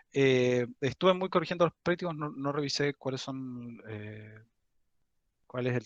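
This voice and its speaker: Recorded dry and close with no echo, a man speaks at medium pitch with ordinary pitch variation. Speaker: university teaching assistant. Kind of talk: lecture. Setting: video call. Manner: slow; halting.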